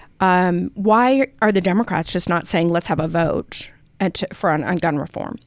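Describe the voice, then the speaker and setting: A woman's plain, everyday voice with an American accent, medium pitch, ordinary pitch variation and a moderate pace. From Utah, Salt Lake City. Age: 50s. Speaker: politician. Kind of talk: interview.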